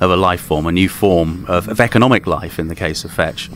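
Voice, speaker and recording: A man speaks with an English accent in a very deep, low pitch. His intonation is fairly even, with noticeable background noise behind him. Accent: English accent, much praised. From southern and eastern England. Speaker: tech company co-founder and CTO. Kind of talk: interview. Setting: conference interview room. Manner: halting, many repeated words.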